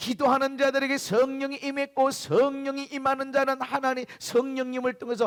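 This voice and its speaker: A man speaks at a moderate pace with an extremely high pitch. His tone is animated. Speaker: pastor. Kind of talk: sermon.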